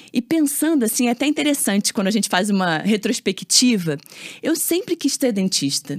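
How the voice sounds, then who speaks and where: With a fairly high pitch and very wide pitch swings, a woman speaks at a moderate pace in a dry, close sound with no echo. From Brazil, Rio de Janeiro. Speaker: orthodontist. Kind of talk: casual interview chat.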